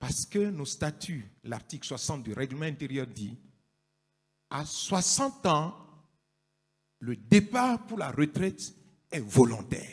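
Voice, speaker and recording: A man's somewhat breathy, fairly high voice at a very slow pace, with long, frequent pauses, very wide pitch swings and big swings in loudness. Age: 60s. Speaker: pastor. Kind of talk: public statement.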